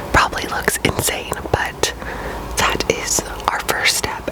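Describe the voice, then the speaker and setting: A woman whispers at a moderate pace over noticeable background noise. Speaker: ASMR creator. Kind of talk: ASMR makeup tutorial. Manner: whispered.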